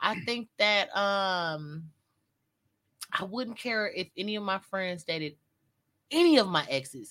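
Bright and sharp in tone, the voice moves at a very slow pace. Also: woman. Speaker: podcast co-host. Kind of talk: casual chat.

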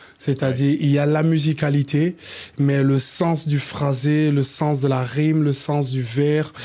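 A man speaks in a fairly high voice for his sex. His intonation is monotone and flat, with noticeable background noise. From Cameroon. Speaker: hip-hop artist. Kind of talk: casual chat.

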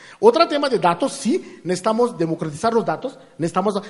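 A man's voice over noticeable background noise. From India. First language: not Spanish (from India) (speaking Spanish). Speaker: artificial intelligence engineer. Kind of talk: interview. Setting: live event with audience. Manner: halting.

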